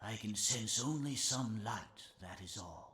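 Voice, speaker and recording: Using a put-on character voice, a man talks fairly slowly with ordinary pitch variation. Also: medium pitch for a man. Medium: video game. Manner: slow, measured, gentle.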